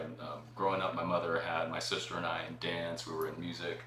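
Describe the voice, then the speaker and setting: Noticeable background noise and audible room echo surround the recording. A man with a General American accent talks at a moderate pace. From Phoenix, Arizona. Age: 40s. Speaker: entrepreneur and after-school arts program director. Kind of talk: podcast interview.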